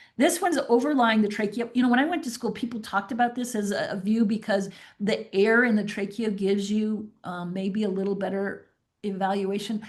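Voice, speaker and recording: Speaking at a fairly quick pace, a woman sounds somewhat breathy, with ordinary pitch variation and audible room echo. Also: fairly high pitch for a woman. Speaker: veterinary specialist. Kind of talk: webinar lecture. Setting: online webinar.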